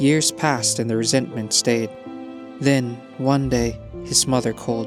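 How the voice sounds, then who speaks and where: Fairly even intonation with music in the background. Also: man. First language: not English. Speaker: story narrator. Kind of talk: emotional short story reading.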